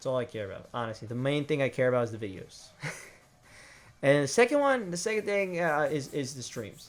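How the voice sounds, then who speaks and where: Fairly high-pitched male speech with typical variation in pitch. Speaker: gaming YouTuber and streamer. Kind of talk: casual monologue, channel update ramble. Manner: fast; rambling, hesitant with fillers and repeats.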